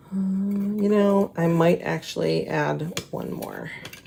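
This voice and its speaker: A woman talks very slowly while clear background noise runs underneath. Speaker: crafts demonstrator. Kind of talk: live craft tutorial. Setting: live stream. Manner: casual, chatty.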